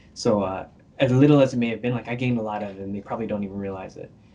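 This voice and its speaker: The man has a dark, mellow tone and fairly even intonation. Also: long, frequent pauses, big swings in loudness. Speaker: animator. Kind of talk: interview. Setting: podcast interview. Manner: fast; casual, many fillers.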